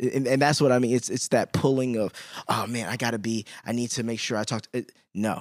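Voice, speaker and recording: In a very clean recording with a silent background and a dry, close sound with no echo, a man with a plain, everyday voice and an American accent talks at a fairly quick pace and medium pitch, his intonation fairly even and his loudness swinging widely. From Chicago, US. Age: 30s. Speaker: podcast host. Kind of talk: casual interview chat.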